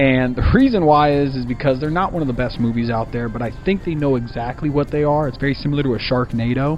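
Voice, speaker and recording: A man's fairly high voice at a very fast pace, hardly any pauses, ordinary pitch variation and noticeable background noise. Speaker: movie review vlogger. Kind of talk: casual vlog review.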